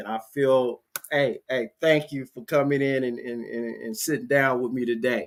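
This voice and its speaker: With an American accent, a man talks at a moderate pace and medium pitch, his pitch varying normally while his loudness swings widely. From US South (Louisiana, Texas). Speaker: podcast host. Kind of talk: casual interview. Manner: animated.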